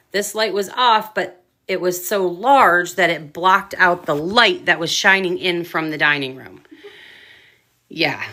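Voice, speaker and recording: This woman talks at a fairly slow pace in a fairly low voice, with ordinary pitch variation and big swings in loudness. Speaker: paranormal investigator. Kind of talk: casual chat.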